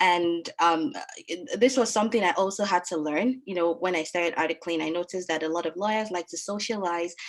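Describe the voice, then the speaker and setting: Ordinary pitch variation comes through as the speaker moves at a fairly quick pace. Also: woman, fairly low pitch for a woman. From Nigeria. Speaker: lawyer and webinar moderator. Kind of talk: webinar panel moderation. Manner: hesitant, many fillers.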